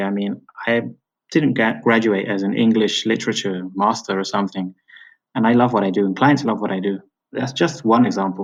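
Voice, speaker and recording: In a British accent, a man talks fairly quickly at a medium pitch with ordinary pitch variation. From Britain. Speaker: freelance writer and teacher. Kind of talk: interview.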